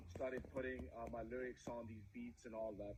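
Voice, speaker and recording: A man at a medium pitch with a Punjabi accent. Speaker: musician. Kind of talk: interview.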